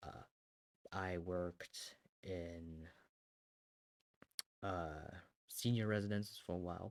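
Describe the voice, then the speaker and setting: A man with a German accent speaks very slowly in a very deep, low voice, with fairly even intonation and long, frequent pauses. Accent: German accent, strength unknown. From Germany. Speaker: artist and content creator. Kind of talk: casual chat. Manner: casual, rambling with fillers.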